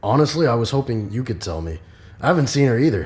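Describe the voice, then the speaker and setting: Using a put-on character voice, a man talks at a very fast pace, raspy and medium-pitched, with very wide pitch swings. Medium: audio drama.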